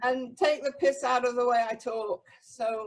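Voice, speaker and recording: An English accent at a fairly slow pace. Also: woman. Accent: English accent, still present. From England. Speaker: spiritual community member. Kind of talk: group discussion.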